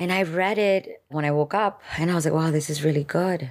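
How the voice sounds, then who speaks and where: A woman speaks at a moderate pace with ordinary pitch variation and a very deep, low pitch. The recording is very clean, with a silent background. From Miami, Florida (born in Dominican Republic, moved at five). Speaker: poet and author. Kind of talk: interview conversation.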